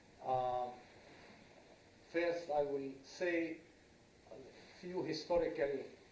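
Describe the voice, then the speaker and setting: Audible room echo surrounds a man with a fairly high pitch who talks at a very slow pace with long, frequent pauses. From Israel, Druze village. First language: Arabic. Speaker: former politician, lecturer. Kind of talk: lecture. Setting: lecture hall with audience, no microphone. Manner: loud.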